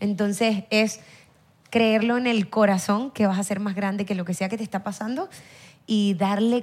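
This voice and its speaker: Here a woman talks at a moderate pace with medium pitch. Her intonation stays fairly even. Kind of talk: casual chat. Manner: loud.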